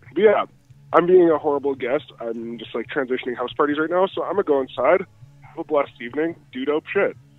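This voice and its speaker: A man's fairly high voice at a very fast pace, with ordinary pitch variation and music in the background. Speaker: guest on a streamed show. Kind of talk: casual chat. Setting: call, outdoors at a house party.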